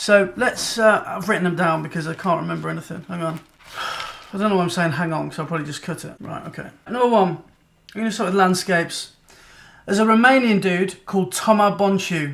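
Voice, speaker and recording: Talking at a fairly quick pace, a man with a high pitch shows big swings in loudness. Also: ordinary pitch variation. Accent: British. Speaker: photography vlogger. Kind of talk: casual vlog chat.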